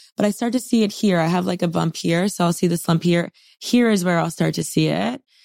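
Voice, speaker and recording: An animated woman speaks at a fairly quick pace with vocal fry. The recording is very clean, with a silent background. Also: ordinary pitch variation. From Miami, Florida, Colombian immigrant family. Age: 30s. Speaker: pop culture commentator. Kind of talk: casual interview chat. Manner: animated, expressive with hands.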